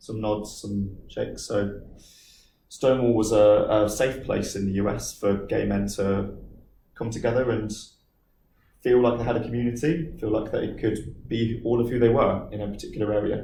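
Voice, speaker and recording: A man's fairly low, dark, mellow voice with vocal fry and audible room echo. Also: fairly even intonation, moderate pace. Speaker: business manager speaking to a school group. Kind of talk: talk with Q&A to pupils.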